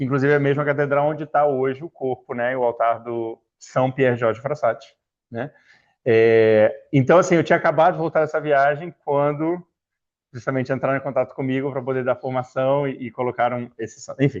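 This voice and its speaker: With a Rio de Janeiro accent, a man speaks at a fairly quick pace in a medium pitch and fairly even intonation. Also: quiet background. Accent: carioca. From Rio de Janeiro, Brazil (Niterói). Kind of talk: talk to a religious formation group. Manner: casual, hesitant with fillers.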